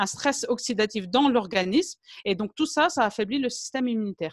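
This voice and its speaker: A woman with an ordinary speaking voice talks at a moderate pace, her fairly high pitch carrying lively intonation in a dry, close sound with no echo. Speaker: naturopath. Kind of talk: lecture.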